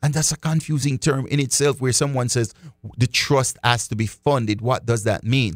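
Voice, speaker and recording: Speaking at a moderate tempo, a man uses an unremarkable speaking voice, his medium pitch rising and falling in an ordinary way. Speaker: radio host. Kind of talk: live radio show with callers. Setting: radio studio, live.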